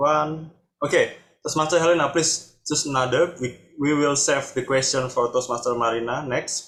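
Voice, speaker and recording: With a Jakarta accent, a man speaks at a moderate pace in a fairly high pitch and fairly even intonation. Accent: Indonesian English, local Jakarta. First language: Indonesian. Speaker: table topics master at speaking club. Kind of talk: meeting hosting.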